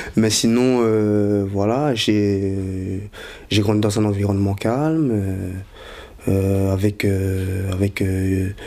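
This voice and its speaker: Audible room echo surrounds a man whose fairly low pitch and dark, mellow tone come at a very slow pace with very even loudness. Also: fairly even intonation. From Belgium, Brussels. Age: 20s. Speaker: convert giving testimony. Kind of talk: testimony. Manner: halting, many fillers.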